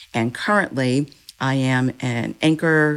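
In a very clean recording with a silent background, a woman with an American accent talks at a very slow pace in a very deep, low pitch. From Virginia, Powhatan. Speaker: television news anchor. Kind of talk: interview.

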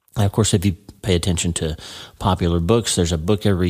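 A man speaks at a fairly quick pace, his pitch very deep and low. His tone is dark and mellow, with ordinary pitch variation. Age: 50s. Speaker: neurosurgeon and podcast host. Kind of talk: solo podcast monologue. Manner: animated.

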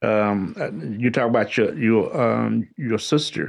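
A man with an American accent has a normal speaking voice. He speaks at a fairly slow pace. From East Texas. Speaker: art gallery co-owner. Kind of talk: radio interview. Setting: radio studio.

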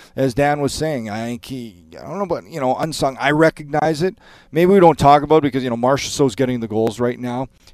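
On a very clean recording with a silent background, a man talks in a normal speaking voice at a fairly quick pace, medium pitch and ordinary pitch variation. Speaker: hockey analyst, former player. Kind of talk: sports radio talk. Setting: studio.

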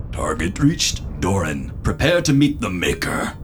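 A man's robotic put-on character voice, fairly low in pitch, at a moderate pace over clear background noise.

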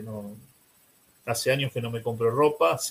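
A man speaks at a medium pitch. His voice is somewhat breathy. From Argentina, Buenos Aires. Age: 60s. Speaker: priest. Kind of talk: interview.

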